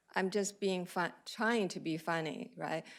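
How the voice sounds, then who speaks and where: In a very clean recording with a silent background, a woman with a Chinese accent speaks at a moderate pace with ordinary pitch variation. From China. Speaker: cardiologist. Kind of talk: lecture. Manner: hesitant, many fillers.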